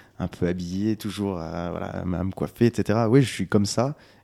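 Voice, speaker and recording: On a very clean recording with a silent background, a man talks fairly slowly at a fairly low pitch with ordinary pitch variation. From France, Lyon area (Monts du Lyonnais). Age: 20s. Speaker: singer-songwriter. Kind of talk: interview. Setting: on location before a concert. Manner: hesitant, repeats words.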